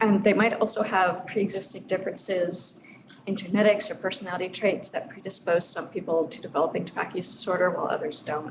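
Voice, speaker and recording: A soft-spoken woman at a medium pitch, very fast pace, fairly even intonation, noticeable background noise and audible room echo. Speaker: researcher. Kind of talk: lecture. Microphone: too quiet, mic moved closer.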